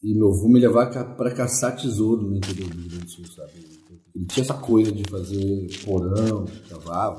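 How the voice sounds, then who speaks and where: A man speaks at a fairly quick pace in a fairly low, somewhat breathy voice with a dark, mellow tone and ordinary pitch variation. His loudness swings widely, and the room echo is audible. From Porto Alegre, southern Brazil. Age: 40s. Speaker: musician, ghost-tour guide. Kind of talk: interview.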